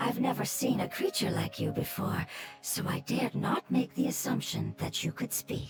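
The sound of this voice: Faint music plays behind a woman doing a put-on character voice, fairly high-pitched with vocal fry and very wide pitch swings, at a moderate pace.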